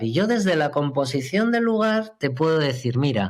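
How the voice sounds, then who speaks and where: A man speaks at a fairly high pitch, with very wide pitch swings. The recording is very clean, with a silent background. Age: 50s. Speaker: astrologer. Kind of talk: podcast interview.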